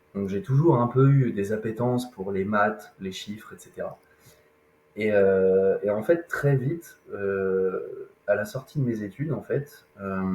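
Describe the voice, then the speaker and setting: A man talks very slowly at a medium pitch, varying it in an ordinary way. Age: 30s. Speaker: independent loan insurance and wealth advisor. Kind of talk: podcast interview. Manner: hesitant, many fillers.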